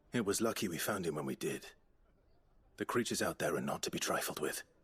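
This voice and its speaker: A man's put-on character voice at medium pitch, delivered at a very fast pace. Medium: video game. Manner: terse, serious.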